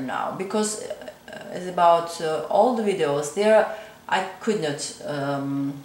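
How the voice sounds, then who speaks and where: Noticeable background noise and audible room echo surround a woman's voice. Her pitch is fairly low, with ordinary variation. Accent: Georgian. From Georgia. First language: Georgian. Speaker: crochet content creator. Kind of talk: tutorial. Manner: halting, many fillers.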